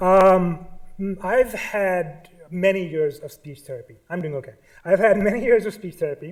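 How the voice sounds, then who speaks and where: A man with a Pakistani accent speaks at a moderate pace and a high pitch, with ordinary pitch variation and big swings in loudness. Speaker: artist. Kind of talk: lecture. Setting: stage with audience. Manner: halting.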